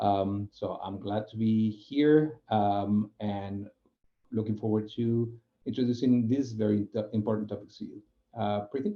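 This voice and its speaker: A man with a Spanish accent talks at a fairly low pitch and a fairly slow pace. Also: fairly even intonation. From Spain. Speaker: UX program manager. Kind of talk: webinar presentation. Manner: halting, many fillers.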